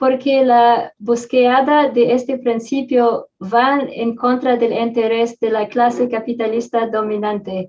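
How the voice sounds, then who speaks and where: A woman's high voice in a non-native accent, with monotone, flat intonation, a very slow pace and hardly any pauses. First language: not Spanish (Spanish is third language) (speaking Spanish). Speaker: social movement activist. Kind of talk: panel talk. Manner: halting, many fillers.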